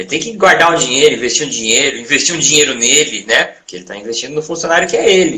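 A man rattles off words at a very fast pace with hardly any pauses. His fairly high voice swings very widely in pitch and makes big swings in loudness. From Brazil, Santos (São Paulo coast). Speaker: university lecturer in physical education. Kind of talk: interview. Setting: live stream.

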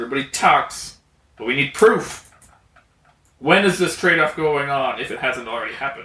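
This is a put-on character voice. It sounds gruff. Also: man. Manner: skeptical, blunt.

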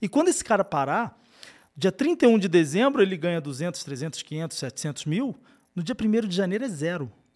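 On a very clean recording with a silent background, a man with a high pitch talks at a moderate pace, his pitch swinging very widely. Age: 30s. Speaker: podcast host. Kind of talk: casual chat.

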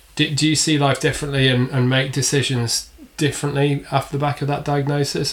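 Somewhat breathy, a man speaks at a very fast pace. His fairly high pitch carries monotone, flat intonation. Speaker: podcast co-host. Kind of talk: casual interview.

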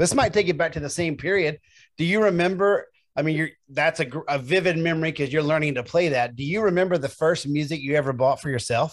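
In a very clean recording with a silent background, a man with an American accent and a fairly high pitch talks at a very fast pace with ordinary pitch variation. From US South, Memphis, Tennessee. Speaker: podcast host. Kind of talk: interview.

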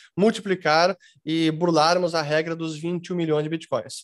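A man's high-pitched voice, fairly slow and fairly even in intonation. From Brazil. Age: 40s. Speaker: crypto investment educator. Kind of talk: interview. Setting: video call.

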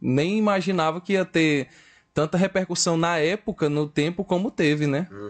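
High for a man, this voice carries lively intonation. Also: moderate pace. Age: 20s. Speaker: podcast guest. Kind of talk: casual chat.

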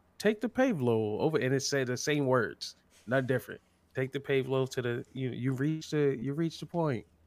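On a very clean recording with a silent background, a man with a plain, everyday voice and an American accent speaks at a medium pitch and moderate pace with ordinary pitch variation. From California. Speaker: streamer. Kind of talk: casual chat.

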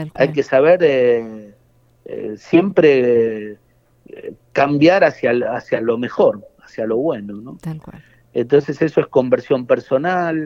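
A man at a very slow pace, with big swings in loudness. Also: ordinary pitch variation. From Argentina, Buenos Aires suburbs (Quilmes). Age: young. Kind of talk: interview. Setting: phone call.

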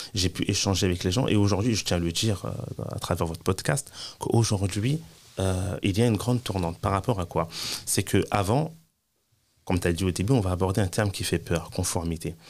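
A man with a very deep, low voice speaks at a fairly quick pace with ordinary pitch variation and long, frequent pauses, on a very clean recording with a silent background. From France. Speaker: Islamic teacher and compliance consultant. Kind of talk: interview.

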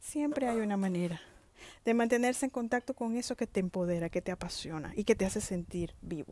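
Recorded very cleanly against a silent background, a woman with a fairly high pitch and a dark, mellow tone speaks at a fairly quick pace with lively intonation. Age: 50s. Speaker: author and motivational podcaster. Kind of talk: motivational monologue.

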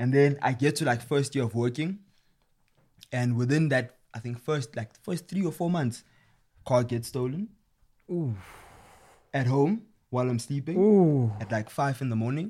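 A man's somewhat breathy voice with a dark, mellow tone, medium pitch, lively intonation, moderate pace and long, frequent pauses. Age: late 20s. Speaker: podcast co-host. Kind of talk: casual chat.

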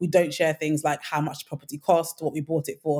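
Speaking at a fairly quick pace in a London accent, a woman with a very deep, low pitch and a dark, mellow tone keeps a monotone, flat intonation, heard in a dry, close sound with no echo. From Nigeria. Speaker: home renovation influencer. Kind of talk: casual interview.

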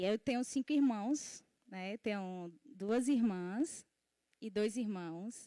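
A woman with a fairly high pitch and a dark, mellow tone talks very slowly, her pitch varying in an ordinary way. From Ceará, Brazil (rural Acaraú). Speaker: church ministry member. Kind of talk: casual interview on a church livestream. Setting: livestream. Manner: frequent fillers (né).

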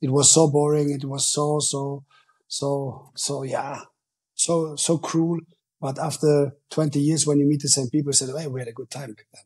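Somewhat breathy speech from a man with a German accent, fairly high in pitch, with monotone, flat intonation. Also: moderate pace. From Germany, Ruhr area. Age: 40s. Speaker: football coach. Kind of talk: interview.

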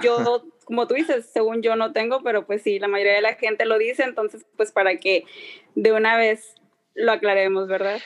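This woman's voice sits fairly high. She keeps a moderate pace with ordinary pitch variation. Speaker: podcast guest. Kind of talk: casual chat.

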